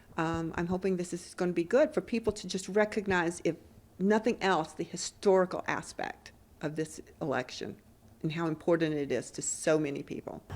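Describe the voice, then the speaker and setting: A woman with a normal speaking voice talks at medium pitch and a moderate pace, with lively intonation. The recording is very clean, with a silent background. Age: 60s. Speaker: voter interviewed in news report. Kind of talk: news interview.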